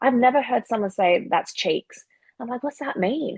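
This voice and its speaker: A woman speaks in a strong Australian accent at a fairly high pitch. Her pitch swings very widely. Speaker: professional wrestler. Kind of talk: casual chat. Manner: animated.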